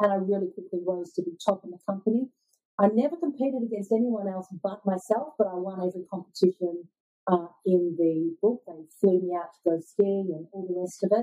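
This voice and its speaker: A woman with an Australian accent talks at a fairly quick pace. Her pitch variation is ordinary, and her loudness swings widely. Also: medium pitch for a woman. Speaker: sales coach. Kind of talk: interview.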